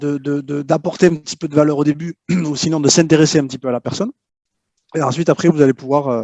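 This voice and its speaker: A man talks at a very fast pace with a slight southwestern French accent, broken by long, frequent pauses. His fairly high voice has a dark, mellow tone and fairly even intonation, recorded dry and close with no echo. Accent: slight southwest French. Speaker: LinkedIn prospecting consultant. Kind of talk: interview. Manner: hesitant, repeats words.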